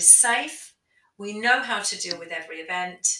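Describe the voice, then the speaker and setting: This woman has an ordinary speaking voice. Her pitch sits in the middle range with ordinary variation. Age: 50s. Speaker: aesthetics doctor. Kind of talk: interview.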